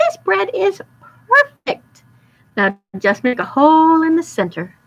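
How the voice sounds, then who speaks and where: A woman puts on a squeaky, high-pitched character voice, swinging very widely in pitch at a fairly slow pace. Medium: read story. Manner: bossy.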